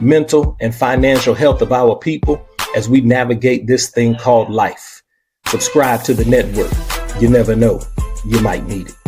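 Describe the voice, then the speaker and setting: Over music in the background, a man talks at a moderate pace with a medium pitch and fairly even intonation. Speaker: podcast host. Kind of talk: podcast welcome intro.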